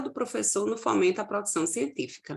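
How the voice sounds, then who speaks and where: A woman at medium pitch with very wide pitch swings and a slight Paraíba accent. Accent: northeastern Brazilian (Paraíba), slight. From Paraíba, Brazil (João Pessoa). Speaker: university lecturer. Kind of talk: conference presentation.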